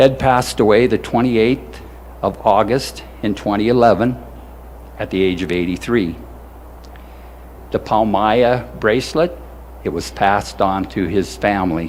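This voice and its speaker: A man with a fairly low pitch uses very wide pitch swings at a moderate pace, leaving long, frequent pauses. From South Dakota. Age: 70s. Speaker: war veteran. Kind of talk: ceremony speech. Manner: halting.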